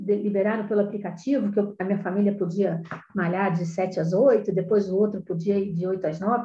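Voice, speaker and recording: At a medium pitch, the woman's voice comes across as somewhat breathy. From Rio de Janeiro, Brazil. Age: 50s. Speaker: professional condominium manager. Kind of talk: interview.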